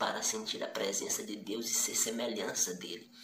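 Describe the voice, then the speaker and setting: A man's animated tone with very wide pitch swings over noticeable background noise. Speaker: preacher. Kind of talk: sermon, passionate exhortation. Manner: animated, urgent, direct appeals to the listener; repetitive, rhetorical questions, conversational.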